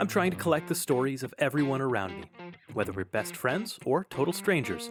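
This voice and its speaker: A man's fairly high voice comes through with music playing behind him. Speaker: podcast host. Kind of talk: podcast intro.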